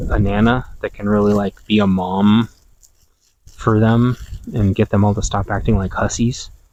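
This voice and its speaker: A man's monotone, flat delivery at a moderate pace. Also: fairly low pitch for a man. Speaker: podcast host. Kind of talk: casual monologue. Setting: outdoors in garden. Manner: quiet, not projecting; modulating volume.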